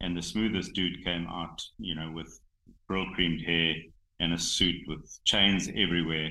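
In a South African accent, a man speaks at a fairly slow pace with a very deep, low pitch. His intonation is monotone and flat. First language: Xhosa. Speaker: rhino conservationist, game reserve owner. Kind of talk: casual interview. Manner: halting, many fillers.

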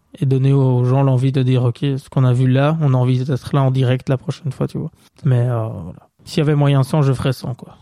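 In a dark, mellow tone, a man moves through his words at a fairly quick pace. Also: medium pitch for a man. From Belgium, Bastogne. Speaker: stand-up comedian. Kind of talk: casual chat. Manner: energetic.

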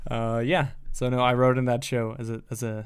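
A man talks at a medium pitch for a man, his intonation monotone and flat. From US Midwest. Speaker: podcast co-host. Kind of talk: casual banter, comedy podcast. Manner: mumbling, doesn't project.

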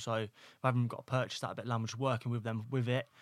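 A man with an East Midlands accent talks very fast at a medium pitch in a monotone, flat intonation. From East Midlands, England (Northampton). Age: 20s. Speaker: electrician and property investor. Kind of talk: casual interview. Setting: studio.

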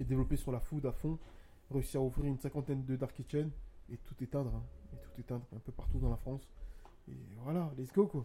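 His voice is medium-pitched, with a dark, mellow tone and a somewhat breathy quality. The man talks at a fairly quick pace yet leaves long, frequent pauses. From abroad, from a war-affected home country. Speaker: business co-founder and podcast co-host. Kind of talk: casual chat. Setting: studio on a sofa with mic stands. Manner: animated.

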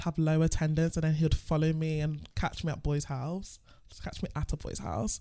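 This woman has a London accent and a dark, mellow tone. Her pitch is fairly low, and she keeps a moderate pace. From England. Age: 20s. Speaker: stripper. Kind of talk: casual chat.

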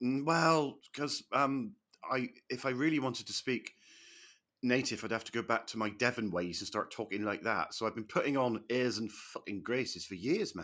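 With a British accent, a man speaks at medium pitch in a bright, sharp tone, with ordinary pitch variation. He keeps a moderate pace on a very clean recording with a silent background. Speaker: comedian. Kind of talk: casual banter interview.

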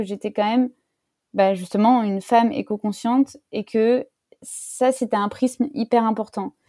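Fairly slow, fairly even speech in a dark, mellow tone, dry and close with no echo, on a very clean recording with a silent background. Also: woman. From France, countryside. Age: 30s. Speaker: interviewee on career change. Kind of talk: interview testimony. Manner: hesitant with many fillers.

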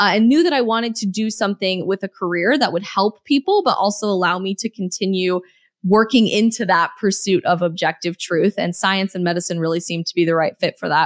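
With a normal speaking voice, a woman talks at a fairly quick pace in a dry, close sound with no echo, on a very clean recording with a silent background. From Colorado. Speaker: political influencer and author. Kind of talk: casual chat.

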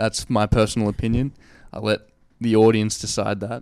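This man talks in an Australian accent. His delivery stays monotone and flat. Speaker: podcast host. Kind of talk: interview. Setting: in a friend's room.

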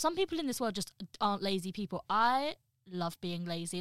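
Someone with a slight Midlands accent is heard in a dry, close sound with no echo. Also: woman. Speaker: podcast co-host. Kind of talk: casual chat among friends. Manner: energetic, animated.

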